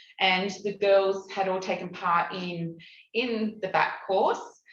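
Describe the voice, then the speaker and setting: In a room with audible echo, a woman talks at a medium pitch with fairly even intonation. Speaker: community program facilitator. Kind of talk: conference presentation. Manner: halting, many fillers.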